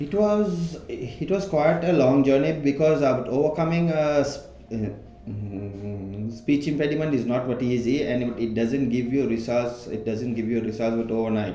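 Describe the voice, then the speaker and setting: The intonation is lively, with audible room echo. Music plays in the background. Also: man, medium pitch for a man, moderate pace. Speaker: employee sharing personal story. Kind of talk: interview. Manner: halting.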